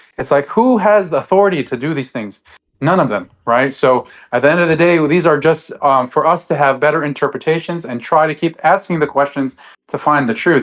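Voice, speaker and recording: Against a quiet background, a man talks fairly quickly in a fairly high pitch with ordinary pitch variation. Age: 30s. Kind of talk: debate discussion. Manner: halting, many fillers.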